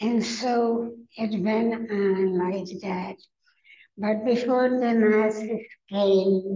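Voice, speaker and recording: A woman with a fairly high pitch talks very slowly in a dark, mellow tone, her intonation flat and monotone. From Carpathian Mountains, Czechoslovakia. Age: 90s. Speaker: Holocaust survivor speaker. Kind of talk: testimony.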